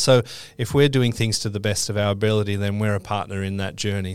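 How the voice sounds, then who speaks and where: A man with an Australian accent speaks in a very clean recording with a silent background. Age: 40s. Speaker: quantity surveyor guest.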